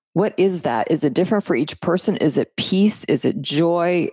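A woman with a fairly low pitch and a dark, mellow tone speaks at a fairly slow pace, with vocal fry. The sound is dry and close, with no echo. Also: very clean recording, silent background. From Canada. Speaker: podcast co-host. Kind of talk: casual interview. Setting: studio.

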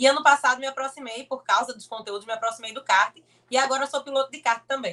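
Very fast and delivered in a raised, projected voice, the speech has big swings in loudness and ordinary pitch variation. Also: woman, high pitch for a woman. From Brazil, Pernambuco (Olinda). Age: 20s. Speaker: motorsport content creator and kart driver. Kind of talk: casual interview.

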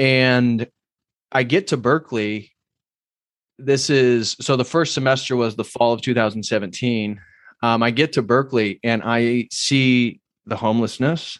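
On a very clean recording with a silent background, a man at medium pitch speaks at a fairly slow pace, his loudness very even and his intonation fairly even. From US Midwest, central Indiana. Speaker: religious YouTuber. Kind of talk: interview storytelling.

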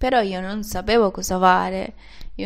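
A woman speaks with a Venezuelan accent amid audible room echo. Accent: non-native Italian, Venezuelan Spanish. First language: Spanish (speaking Italian). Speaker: podcaster. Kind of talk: personal monologue. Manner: halting.

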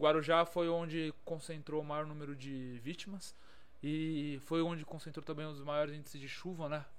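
Audible room echo surrounds a man speaking at a moderate pace in monotone, flat intonation. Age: 20s. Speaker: civil defense geologist. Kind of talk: casual chat.

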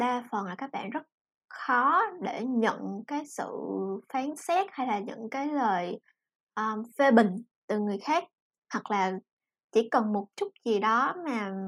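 The speaker talks at a very slow pace with long, frequent pauses, on a very clean recording with a silent background. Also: woman, fairly high pitch for a woman, lively intonation. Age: 20s. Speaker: NGO foundation assistant and project mentor. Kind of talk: casual podcast interview.

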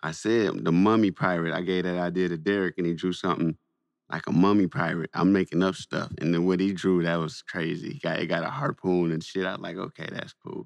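With an American accent, a man with a very deep, low pitch speaks at a fairly quick pace. The sound is dry and close with no echo, over a quiet background. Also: fairly even intonation. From Saginaw, Michigan. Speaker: podcast host and comic writer. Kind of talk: casual chat. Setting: phone call.

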